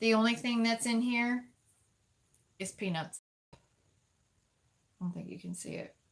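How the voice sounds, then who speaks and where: Her fairly high-pitched voice is somewhat breathy, and this woman leaves long, frequent pauses while her loudness swings widely. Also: ordinary pitch variation, moderate pace. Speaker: livestream co-host. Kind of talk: casual chat on livestream. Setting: live stream from Florida.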